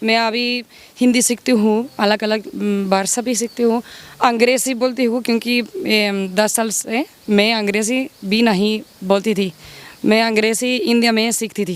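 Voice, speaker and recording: A woman speaks with a Spanish accent. Her pitch is fairly high and her intonation fairly even. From Spain. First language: Spanish (speaking Hindi). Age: 40s. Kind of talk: interview. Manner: halting, non-native Hindi.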